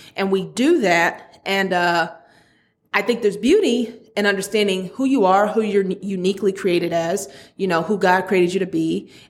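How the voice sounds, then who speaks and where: Her voice plain and everyday, a woman speaks at medium pitch and a moderate pace, with fairly even intonation and very even loudness. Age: 30s. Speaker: podcast host. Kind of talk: casual monologue.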